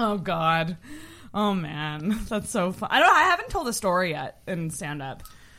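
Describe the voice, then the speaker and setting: A woman speaks at a medium pitch in an ordinary speaking voice. Her pace is fairly slow and her intonation lively. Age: 30s. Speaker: podcast host. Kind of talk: casual chat.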